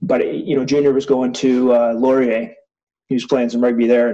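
With a Canadian accent, a man speaks at a medium pitch in a dark, mellow tone. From small-town Ontario, Canada. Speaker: former rugby sevens captain. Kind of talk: casual interview.

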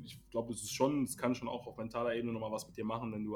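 A man speaks at a medium pitch. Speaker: basketball podcast host. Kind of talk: casual chat. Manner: animated.

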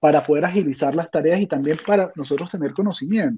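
The speaker is a man. His tone is dark and mellow. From Venezuela. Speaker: software testing expert. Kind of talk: interview.

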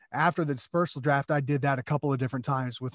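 In a Midwestern American accent, a man with a fairly high voice speaks very fast and in a flat monotone, in a very clean recording with a silent background. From Iowa, US Midwest. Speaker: podcast guest, fantasy football player. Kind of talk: casual chat.

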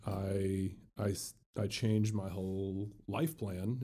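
A man with an American accent speaks very slowly at a fairly low pitch, his tone dark and mellow. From Indiana, South Bend. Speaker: former college football player and law student. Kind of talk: interview. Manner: halting.

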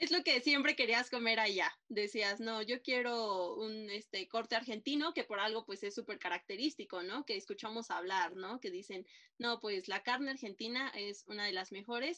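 Speaking in an unremarkable speaking voice, a woman with a fairly high pitch keeps a moderate pace, uses ordinary pitch variation, and barely pauses. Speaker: podcast host. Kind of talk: casual interview chat.

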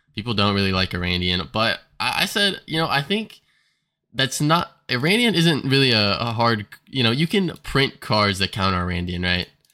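Very wide pitch swings in a man's medium-pitched, bright and sharp voice at a moderate pace, on a very clean recording with a silent background. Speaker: podcast co-host. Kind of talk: casual chat.

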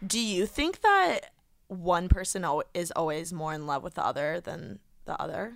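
With a Midwestern American accent, a woman speaks at medium pitch and a moderate pace, with ordinary pitch variation and big swings in loudness. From Indiana. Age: 20s. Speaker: podcaster. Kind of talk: casual chat.

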